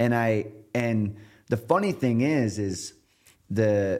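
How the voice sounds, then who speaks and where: A man's fairly low voice comes through on a very clean recording with a silent background. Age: 40s. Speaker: personal trainer and bodybuilder. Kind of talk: casual interview, life story.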